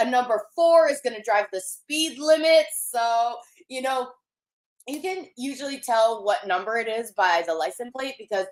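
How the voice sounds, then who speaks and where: A woman's high, bright, sharp voice, with very wide pitch swings and big swings in loudness. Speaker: psychic medium livestream host. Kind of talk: live stream chat reading viewer comments. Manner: casual, filler-heavy.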